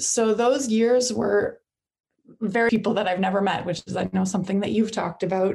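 With a Canadian accent and vocal fry, a woman talks at a fairly quick pace in a medium pitch with fairly even intonation. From Ottawa, Canada. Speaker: explorer and author. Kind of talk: interview.

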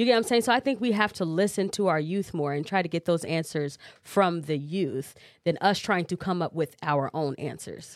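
A woman with a Midwestern US accent, lively intonation and a moderate pace, on a very clean recording with a silent background. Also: fairly low pitch for a woman. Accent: US Midwest. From Cedar Rapids, Iowa (born Chicago, moved at five). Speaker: R&B singer. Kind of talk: casual interview.

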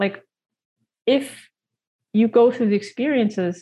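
Speaking fairly slowly with a Canadian accent, a woman has a fairly high pitch and a dark, mellow tone. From Canada, Toronto. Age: 40s. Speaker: nutrition coach and author. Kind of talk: casual chat.

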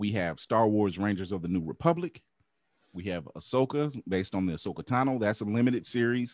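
Recorded dry and close with no echo against a quiet background, a man talks at a fairly low pitch in an unremarkable speaking voice. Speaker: podcast host. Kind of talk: casual chat. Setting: video call.

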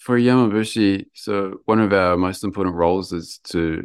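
A man with a New Zealand accent speaks in a very deep, low pitch. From New Zealand, Lower Hutt, Wellington. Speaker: mountain ascetic practitioner. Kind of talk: interview.

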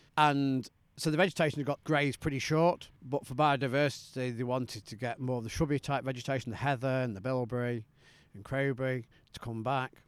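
A man with a Derbyshire accent talks at a fairly quick pace and a medium pitch, his intonation fairly even but his loudness swinging widely, on a very clean recording with a silent background. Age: 50s. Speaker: sheep farmer and farming union representative. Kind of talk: interview. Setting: outdoors.

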